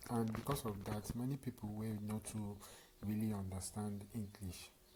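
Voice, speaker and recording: A man with a fairly low pitch talks at a moderate pace, sounding somewhat breathy. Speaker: tutorial channel host. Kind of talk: casual talk to camera.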